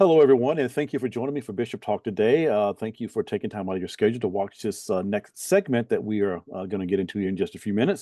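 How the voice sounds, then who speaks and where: A man speaks with a dark, mellow tone at a fairly low pitch, the sound dry and close with no echo against a quiet background. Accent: Southern Alabama. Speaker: bishop and talk show host. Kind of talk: interview.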